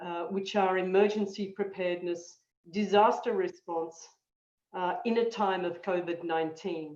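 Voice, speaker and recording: A woman at a medium pitch speaks in an Australian accent, with audible room echo around her. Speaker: disaster management expert, guest lecturer. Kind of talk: lecture. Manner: halting, many fillers.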